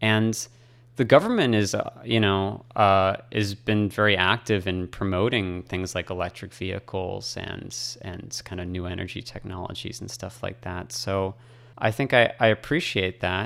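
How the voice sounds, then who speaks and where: With a plain, everyday voice, a man speaks in an American accent at a moderate pace, his fairly low pitch moving with ordinary variation over a very clean recording with a silent background. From US, Boston, Massachusetts. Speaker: electrical engineer. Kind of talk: radio interview. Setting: studio.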